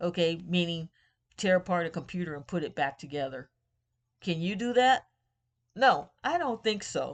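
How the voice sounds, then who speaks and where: Against a quiet background, a woman with an American accent speaks at a moderate pace in a fairly low pitch, her lively intonation broken by long, frequent pauses. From United States. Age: 60s. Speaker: political commentator, vlogger. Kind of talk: political rant monologue.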